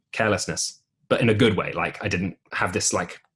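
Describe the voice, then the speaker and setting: Over a quiet background, a man with an English accent talks at a fairly quick pace in a bright, sharp tone. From England. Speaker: musical theatre actor. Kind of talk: podcast interview. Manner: halting.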